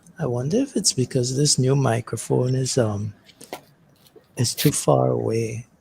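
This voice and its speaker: A man's soft-spoken whisper at a fairly slow pace, broken by long, frequent pauses, with noticeable background noise. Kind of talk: casual chat.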